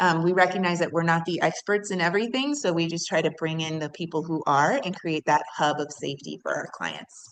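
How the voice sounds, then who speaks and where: A woman with fairly low pitch moves along at a fairly quick pace in a plain, everyday voice. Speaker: nonprofit program leader. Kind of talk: panel presentation.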